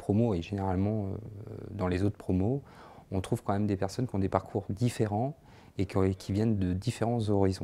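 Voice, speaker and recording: A man talks at a moderate pace in a fairly low pitch with a dark, mellow tone. His intonation stays monotone and flat. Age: 30s. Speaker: social care manager, training graduate; social educator. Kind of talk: testimonial interview. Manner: hesitant, many fillers. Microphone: lapel.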